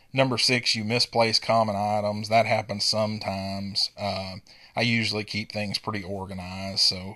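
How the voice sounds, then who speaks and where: A man speaks at a fairly slow pace in a fairly low pitch, with a bright, sharp tone and flat, monotone intonation, on a very clean recording with a silent background. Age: 40s. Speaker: podcast host. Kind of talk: solo monologue.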